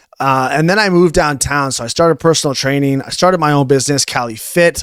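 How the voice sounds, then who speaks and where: A fairly high-pitched man with a Canadian accent, an unremarkable speaking voice and ordinary pitch variation. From Canada, Ontario (Newmarket, Toronto area). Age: 20s. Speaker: fitness coach. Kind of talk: podcast interview. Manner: casual, filler-heavy.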